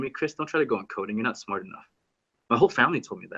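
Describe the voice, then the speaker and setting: With vocal fry and a bright, sharp tone, a man speaks at a fairly high pitch. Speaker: web developer and YouTuber. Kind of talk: interview.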